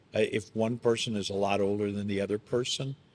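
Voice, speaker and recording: A man with a plain, everyday voice talks at a moderate pace and medium pitch. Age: 60s. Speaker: pastor. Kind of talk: podcast conversation.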